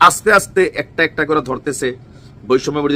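A man's bright, sharp tone at a fairly high pitch. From Bangladesh, Comilla. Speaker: political commentator. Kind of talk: political commentary video.

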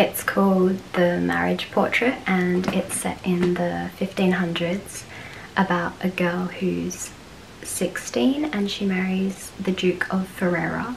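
A woman talks very slowly, her pitch varying in an ordinary way, with light background noise behind her. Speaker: vlogger. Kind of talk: casual vlog chat. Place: home room. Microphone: phone near.

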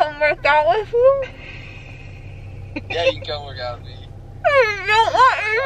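Loud background noise surrounds a woman's voice. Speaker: vlogger after dental surgery. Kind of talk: casual vlog chat. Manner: drowsy, slurred post-anesthesia speech. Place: car. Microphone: phone near.

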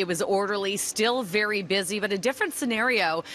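A woman speaks at a moderate pace in a bright, sharp tone. The sound is dry with no echo, over light background noise. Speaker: TV news reporter. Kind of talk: live news report. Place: station. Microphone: handheld.

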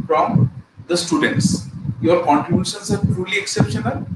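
Loud background noise sits behind speech at a moderate pace. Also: man. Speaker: college lecturer. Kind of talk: lecture. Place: home room.

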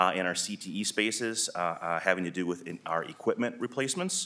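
A man with an American accent has a fairly low pitch and a bright, sharp tone. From US Midwest. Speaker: school superintendent. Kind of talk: legislative testimony. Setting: committee hearing room. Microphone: podium.

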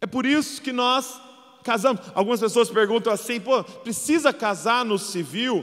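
This man speaks with a Brazilian accent and a high pitch. His tone is warm and animated, with ordinary pitch variation. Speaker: preacher. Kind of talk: sermon. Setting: church with live audience. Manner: animated, emphatic preacher, rallying the congregation with calls to respond; warm, conversational, with light humor. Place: stage. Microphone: handheld.

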